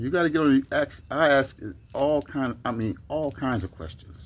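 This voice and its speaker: Speaking at a fairly slow pace, a man keeps his intonation lively. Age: 60s. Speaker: video blogger. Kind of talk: casual monologue. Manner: halting, many fillers.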